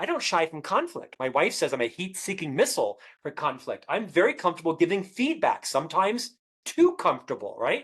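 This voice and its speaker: Pitch swings very widely. The pace is fairly quick. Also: man. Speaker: author. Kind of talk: interview. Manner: well-spoken.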